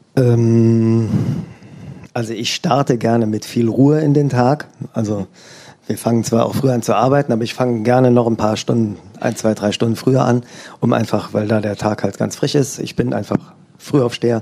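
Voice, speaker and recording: Moderate pace and fairly even intonation from a man at medium pitch, with a plain, everyday voice. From Germany, Eifel near Luxembourg border. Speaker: organic farmer. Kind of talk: interview before live audience.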